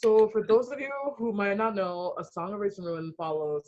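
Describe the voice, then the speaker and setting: With a Ghanaian accent, a woman speaks in an animated tone with lively intonation. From US (immigrated from Ghana at three). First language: Ghanaian language. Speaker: author. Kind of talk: book event interview.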